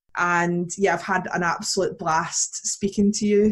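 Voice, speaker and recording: The voice is somewhat breathy. It moves at a fairly slow pace with monotone, flat intonation. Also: woman. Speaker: youth resilience educator. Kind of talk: podcast interview.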